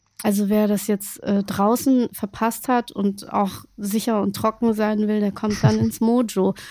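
At a fairly slow pace, a woman talks in a monotone, flat intonation with a dark, mellow tone and medium pitch. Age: 40s. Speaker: podcast host. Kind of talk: casual chat.

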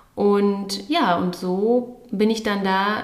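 Noticeable background noise and audible room echo surround the recording. A woman speaks at a medium pitch with fairly even intonation. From Berlin, Germany. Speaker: podcast co-host. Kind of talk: casual chat.

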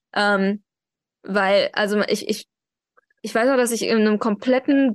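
The voice moves at a moderate pace with ordinary pitch variation. The sound is dry and close with no echo over a quiet background. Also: woman. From Germany, Iranian family. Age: 20s. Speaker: activist and social media manager. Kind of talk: interview. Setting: video call. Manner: hesitant with many fillers.

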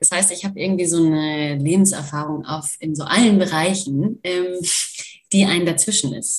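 A woman's fairly low voice, a plain, everyday voice, at a moderate pace with ordinary pitch variation. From Germany, Kurdish-German family. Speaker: nonviolent communication practitioner, political science student. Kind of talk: interview conversation.

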